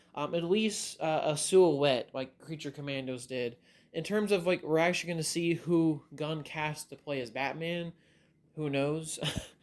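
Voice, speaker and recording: A man talks at a moderate pace in a fairly high pitch. His pitch variation is ordinary. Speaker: movie news youtuber. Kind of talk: casual vlog commentary. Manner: halting, filler-heavy.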